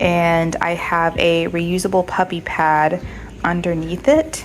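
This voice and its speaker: A woman with a fairly low voice speaks over noticeable background noise. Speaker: pet owner vlogger. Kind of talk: casual vlog narration.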